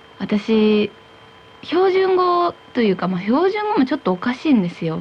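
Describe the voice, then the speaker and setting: Her pitch swinging very widely, a woman talks at a fairly slow pace over light background noise. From Iwata, Shizuoka. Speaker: radio host. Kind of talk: radio talk show conversation. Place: studio.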